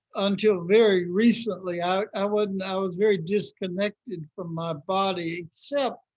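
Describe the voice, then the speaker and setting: A man with a Southern US accent speaks at a moderate pace in a high pitch, with fairly even intonation and hardly any pauses. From Mississippi, US South. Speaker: anti-racism trainer, minister. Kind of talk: interview answer.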